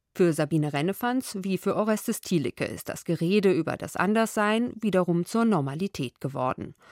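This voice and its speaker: In a normal speaking voice, a woman talks at a medium pitch and fairly quick pace with lively intonation and hardly any pauses, on a very clean recording with a silent background and a dry, close sound with no echo. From Hesse, western Germany. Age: 30s. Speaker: radio journalist. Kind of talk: scripted narration.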